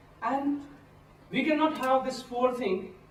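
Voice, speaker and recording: Over noticeable background noise and audible room echo, a man speaks with a non-native accent. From India. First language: not English. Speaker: pastoralist community advocate. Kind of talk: workshop talk. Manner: halting.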